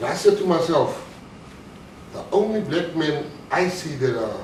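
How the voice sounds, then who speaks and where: High-pitched male speech at a fairly slow pace, with audible room echo and noticeable background noise. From South Africa. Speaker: motivational speaker, former bank robber turned entrepreneur. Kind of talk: motivational talk.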